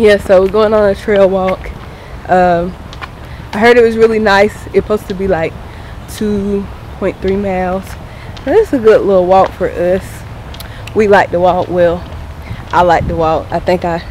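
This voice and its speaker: A woman's fairly slow, fairly even delivery broken by long, frequent pauses, with a dry sound, no echo, and light background noise. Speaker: vlogger. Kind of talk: casual vlog chat. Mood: cheerful, laughing. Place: forest. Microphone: phone near.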